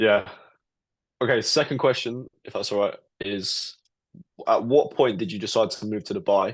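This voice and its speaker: A man's medium-pitched voice at a moderate pace, with lively intonation, big swings in loudness and long, frequent pauses against a quiet background. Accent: British. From UK. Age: 20s. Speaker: trader. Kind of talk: casual interview.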